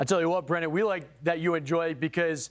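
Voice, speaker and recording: Loud and animated, a man rattles along at a very fast pace. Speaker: live news anchor. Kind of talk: live breaking weather coverage.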